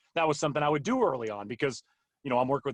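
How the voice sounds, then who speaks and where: His pitch moves in an ordinary way. The recording is dry and close, free of echo. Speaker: golf broadcaster. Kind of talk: interview. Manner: fast.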